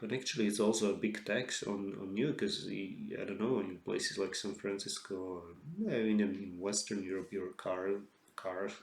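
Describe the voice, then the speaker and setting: A man with a Slovak accent speaks at a fairly low pitch. Audible room echo is present. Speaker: author. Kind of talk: solo lecture monologue. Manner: halting, many fillers and restarts.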